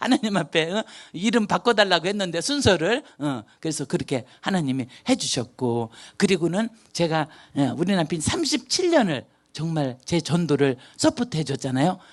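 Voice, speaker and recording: Against a quiet background, a woman with a fairly low pitch speaks at a moderate pace. Her tone is animated and her pitch swings very widely. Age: 60s. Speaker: missionary. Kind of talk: testimony.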